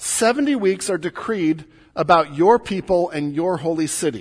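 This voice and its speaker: A man's high-pitched voice with a Mississippi accent and lively intonation, set against a quiet background. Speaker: pastor. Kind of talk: sermon. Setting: church.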